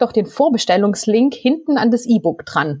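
A woman's fairly high-pitched voice, a normal speaking voice, at a fairly slow pace. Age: 30s. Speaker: novelist. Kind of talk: casual interview.

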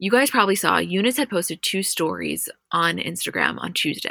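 Over a silent background in a very clean recording, a woman talks at a fairly quick pace. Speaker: podcast host. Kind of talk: casual chat. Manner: fast.

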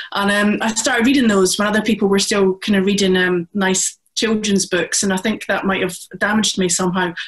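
In a Scottish accent, the speaker goes at a fairly quick pace with monotone, flat intonation, hardly any pauses and very even loudness. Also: woman, medium pitch for a woman. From Scotland. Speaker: crime author. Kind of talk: panel discussion.

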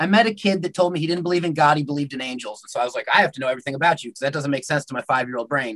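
A man with an American accent talks very fast at a fairly high pitch, with hardly any pauses and ordinary pitch variation. His loudness swings a lot, and the sound is dry and close with no echo. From United States. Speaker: pagan priest. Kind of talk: interview.

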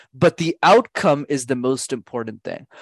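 A man with a Canadian accent speaks in a plain, everyday voice, fairly high-pitched and fairly slow. The background is quiet, and the sound is dry and close with no echo. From Canada, Montreal. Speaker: communication coach. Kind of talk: interview.

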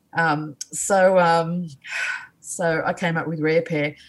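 A woman with an Australian accent, very deep, low pitch and monotone, flat intonation. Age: 50s. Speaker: artist. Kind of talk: casual chat.

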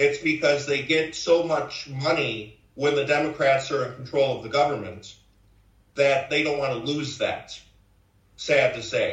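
In a Chicago accent, a man with a fairly high, somewhat breathy voice talks at a fairly slow pace with fairly even intonation in a room with audible echo. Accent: Chicago American. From US Midwest, Chicago south side. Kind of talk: interview.

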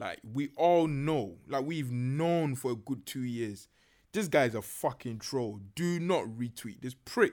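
A man with a Ghanaian accent speaks very slowly at a medium pitch, his intonation lively. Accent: Ghanaian, largely unchanged. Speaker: podcaster. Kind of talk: casual chat.

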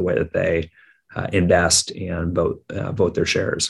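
A man with a very deep, low pitch and an American accent, monotone, flat intonation and a moderate pace. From US Midwest, Minneapolis, Minnesota. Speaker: startup founder and CEO. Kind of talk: interview.

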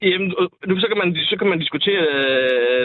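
Pitched high, a man's voice moves with ordinary variation. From North Jutland, Denmark. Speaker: bricklayer and union member. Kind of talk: political debate. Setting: phone call. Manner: halting, repeats words.

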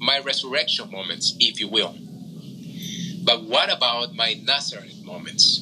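A man with a Spanish accent speaks over noticeable background noise. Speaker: room host. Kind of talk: moderated online group discussion. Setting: Clubhouse audio room.

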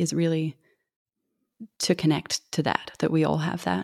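This woman speaks at a moderate pace in an Australian accent, her pitch fairly low. The sound is dry and close with no echo, and the recording is very clean with a silent background. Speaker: actress and singer. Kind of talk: casual interview.

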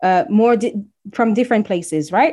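A woman with a French accent speaks at a very fast pace. Her pitch is fairly high, with ordinary variation. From DR Congo (Kinshasa). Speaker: brand strategist. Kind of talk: casual interview. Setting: video call.

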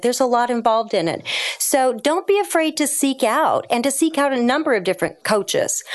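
A woman speaks over noticeable background noise. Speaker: business coach. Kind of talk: interview.

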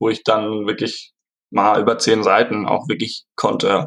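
A man at a very slow pace. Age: 20s. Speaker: student and product inventor. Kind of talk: interview. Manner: halting, many fillers.

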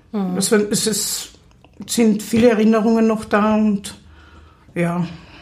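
A woman's fairly high-pitched voice with fairly even intonation and audible room echo. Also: long, frequent pauses. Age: 30s. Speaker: psychiatric patient. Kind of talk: interview testimony. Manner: halting.

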